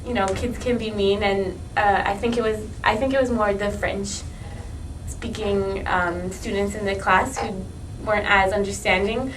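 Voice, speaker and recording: A woman speaks at a moderate pace. The recording carries audible room echo and noticeable background noise. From Montreal, Quebec, partly Latin America. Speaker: student interviewee. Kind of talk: interview.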